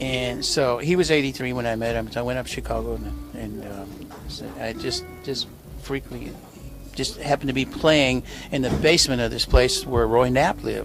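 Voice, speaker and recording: Music plays in the background as a man with an American accent talks at a moderate pace. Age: 70s. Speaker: drummer. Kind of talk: interview. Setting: cafe.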